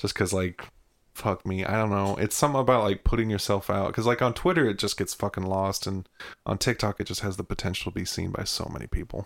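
Very fast talk from a man, fairly low in pitch and fairly even in intonation. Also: very clean recording, silent background. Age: 30s. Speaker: podcast co-host. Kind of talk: casual chat.

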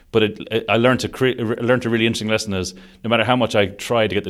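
This man speaks with an Irish accent at a very fast pace. His intonation stays fairly even. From Ireland, Sligo (west coast). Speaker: construction digital delivery director. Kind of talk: interview.

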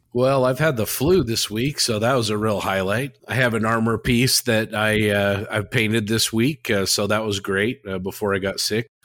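A man with an American accent and a plain, everyday voice talks at a moderate pace and medium pitch, with fairly even intonation and hardly any pauses. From Utah, US. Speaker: podcast co-host. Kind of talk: casual chat.

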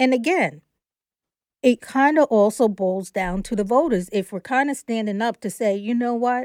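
A woman with a plain, everyday voice talks at a fairly high pitch and moderate pace with lively intonation. The sound is dry and close with no echo, in a very clean recording with a silent background. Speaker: podcast co-host. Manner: measured, reasoning.

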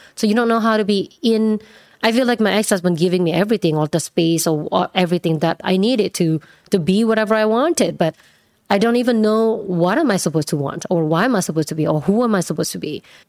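Speaking very fast with lively intonation, a woman at a medium pitch is heard in a dry, close sound with no echo. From Indonesia. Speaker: salon owner and influencer. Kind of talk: interview conversation.

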